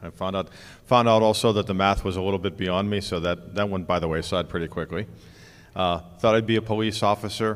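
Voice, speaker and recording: Speaking in a normal speaking voice, a man with an American accent keeps a fairly low pitch. His intonation is fairly even and his pace fairly quick. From US, Pittsburgh area. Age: 60s. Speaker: conference founder. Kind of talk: onstage interview.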